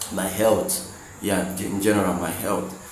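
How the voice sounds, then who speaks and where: With a Nigerian accent, a man talks at a fairly slow pace and fairly low pitch, with audible room echo and noticeable background noise. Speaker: motivational vlogger, software developer. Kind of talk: motivational monologue. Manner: halting, with fillers and repetitions.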